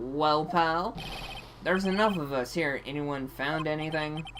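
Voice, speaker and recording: A man puts on a gruff character voice with a fairly high pitch, ordinary pitch variation and a moderate pace, over clear background noise. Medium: game stream. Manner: gruff, calls people pal.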